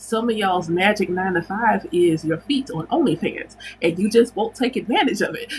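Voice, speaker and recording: A woman at medium pitch with lively intonation and a moderate pace, music playing in the background. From United States. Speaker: spiritual teacher and livestream host. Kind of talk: casual livestream chat. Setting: livestream.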